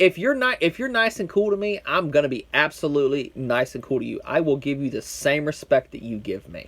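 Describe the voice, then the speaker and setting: This man talks at a fairly quick pace in an American accent, his pitch swinging very widely. His tone is animated, with big swings in loudness. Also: hardly any pauses. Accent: strong country, backwoods redneck. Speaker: YouTube commentator. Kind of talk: rant.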